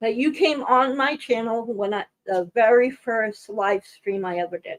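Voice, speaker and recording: A woman speaks with fairly high pitch and lively intonation, in a dry, close sound with no echo. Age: 60s. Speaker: live stream host. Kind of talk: casual chat. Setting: live stream.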